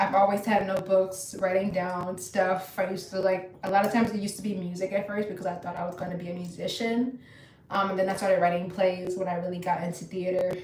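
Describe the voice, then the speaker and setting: A woman with an American accent at a medium pitch, very fast pace and monotone, flat intonation, amid audible room echo and noticeable background noise. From Virginia. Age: 20s. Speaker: ostomy lifestyle streamer. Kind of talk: casual chat.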